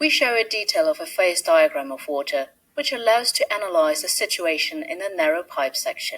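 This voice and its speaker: A woman in a British accent at a fairly quick pace. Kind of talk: educational science narration.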